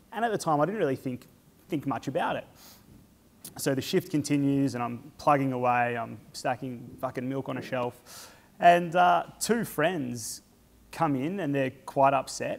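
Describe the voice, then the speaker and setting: A man speaks with an Australian accent. His pitch is fairly high and his pace moderate. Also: very clean recording, silent background. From Australia, rural Victoria (Stawell). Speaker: charity fundraiser and speaker. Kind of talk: personal talk to an audience. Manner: halting, many fillers.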